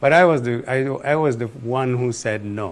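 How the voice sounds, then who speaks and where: A man with a northern Nigerian accent, moderate pace and ordinary pitch variation. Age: 70s. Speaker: former political adviser. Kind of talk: interview. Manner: halting.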